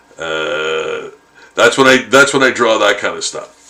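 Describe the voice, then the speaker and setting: A man's voice over noticeable background noise. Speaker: artist live-streaming drawing. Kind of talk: casual live stream chat while drawing. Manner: halting, many fillers.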